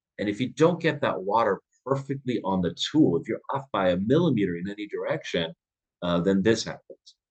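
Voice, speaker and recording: With very wide pitch swings, a man talks at a fairly quick pace from a medium pitch. The sound is dry and close, with no echo. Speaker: dentist and dental educator. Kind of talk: webinar presentation. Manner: fast; halting, many filler words.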